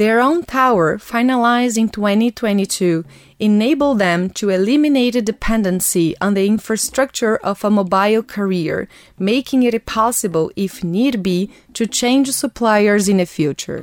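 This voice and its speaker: In a Portuguese accent, a woman speaks at a moderate pace and a fairly high pitch with ordinary pitch variation and very even loudness, the sound dry and close with no echo on a very clean recording with a silent background. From Brazil. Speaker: podcast host. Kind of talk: scripted narration. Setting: studio.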